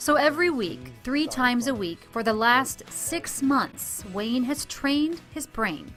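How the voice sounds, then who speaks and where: With music in the background, a woman speaks at a fairly slow pace and high pitch, with lively intonation and hardly any pauses. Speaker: TV reporter. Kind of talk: TV news feature narration.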